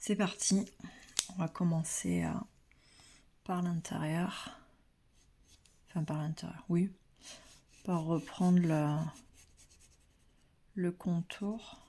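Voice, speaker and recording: Soft-spoken and somewhat breathy, a woman with a fairly low pitch and a dark, mellow tone talks very slowly with fairly even intonation, leaving long, frequent pauses. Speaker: pastel drawing teacher. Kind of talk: tutorial. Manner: hesitant, many fillers.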